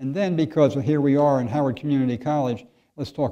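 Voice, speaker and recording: A dark, mellow tone against a quiet background. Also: man. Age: 70s. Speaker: physician. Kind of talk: lecture. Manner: halting.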